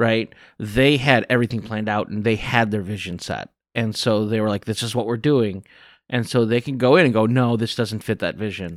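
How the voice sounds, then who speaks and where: With an American accent, a man talks at a fairly quick pace and fairly even intonation in an ordinary speaking voice, captured in a very clean recording with a silent background. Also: medium pitch for a man. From US Midwest, northern Illinois. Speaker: podcast co-host. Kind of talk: casual chat.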